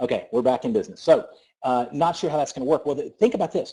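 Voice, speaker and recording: In a Southern US accent, a man speaks at a very fast pace with a dark, mellow tone, a fairly high pitch, and very wide pitch swings. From US South. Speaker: network marketing presenter. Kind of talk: sales presentation on a conference call. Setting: conference call. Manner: animated.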